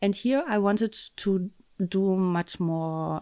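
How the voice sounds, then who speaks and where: A woman talks with a German accent. The sound is dry and close, with no echo. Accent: German accent, trouble with th sound. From Germany. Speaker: embroidery teacher. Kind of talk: tutorial. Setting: home craft room, window open. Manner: hesitant, many fillers.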